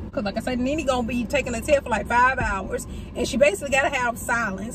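Over noticeable background noise, a woman talks at a very fast pace with ordinary pitch variation. The sound is dry, with no echo. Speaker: vlogger. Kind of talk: casual vlog chat. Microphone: phone near.

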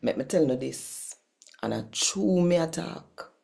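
A woman's very deep, low voice, dark and mellow in tone, with very wide pitch swings, a fairly slow pace and vocal fry. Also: quiet background. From Jamaica. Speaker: Bible reader and worship leader; Bible reader. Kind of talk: channel intro; scripture reading in Jamaican Patois. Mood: warm, animated. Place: home room. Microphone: phone near.

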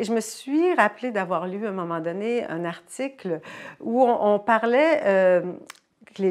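A woman with lively intonation over a quiet background. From Poland. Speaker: author and translator. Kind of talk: interview. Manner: hesitant, many fillers. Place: home room.

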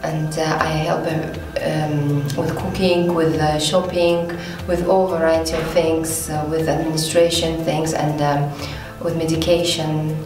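A woman with a very deep, low pitch speaks at a fairly slow pace with monotone, flat intonation. There is audible room echo and clear music in the background. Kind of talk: interview answer. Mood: warm and friendly. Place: empty room.

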